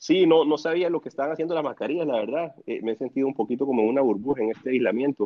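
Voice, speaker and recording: Speaking at a very fast pace with hardly any pauses, a man has a fairly high pitch and ordinary pitch variation. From El Salvador. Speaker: real estate developer. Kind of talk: casual chat. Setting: remote call from home.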